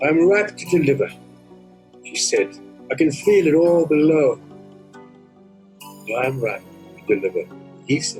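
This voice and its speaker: A fairly high-pitched man with lively intonation, fairly slow and full of long, frequent pauses, his loudness swinging widely over music in the background. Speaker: poet. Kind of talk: poetry reading.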